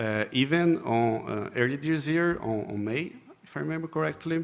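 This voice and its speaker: A man talks with a Portuguese accent. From Brazil. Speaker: software engineer, conference speaker. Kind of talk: conference talk. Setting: stage with audience. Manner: halting, frequent repetitions and fillers.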